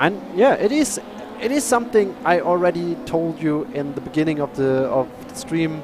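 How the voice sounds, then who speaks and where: A man with a German accent, high pitch and very wide pitch swings, music in the background. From Germany. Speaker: sim racing commentator. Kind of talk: live commentary. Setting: live stream. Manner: halting.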